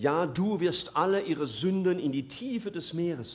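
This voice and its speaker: The speech moves at a moderate pace with a warm tone. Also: man. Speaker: preacher. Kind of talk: sermon. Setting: church. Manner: earnest, warm and persuasive, building from plain explanation to a quiet, pleading prayer.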